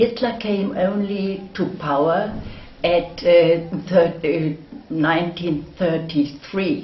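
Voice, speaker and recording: Against noticeable background noise and audible room echo, a woman speaks very slowly at a fairly low pitch. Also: ordinary pitch variation. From northwest Germany. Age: 80s+. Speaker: war-era eyewitness. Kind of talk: oral history interview. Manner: halting.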